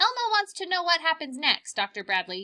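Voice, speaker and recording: In a squeaky, put-on character voice, a woman talks at a fairly quick pace and an extremely high pitch. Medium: read story. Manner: talks about himself in third person.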